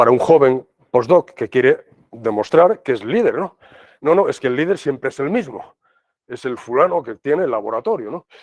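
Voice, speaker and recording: A man with an unremarkable speaking voice talks at a moderate pace and a fairly high pitch, his intonation lively, in a dry, close sound with no echo. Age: 60s. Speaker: professor. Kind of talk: lecture. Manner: conversational, filler-heavy.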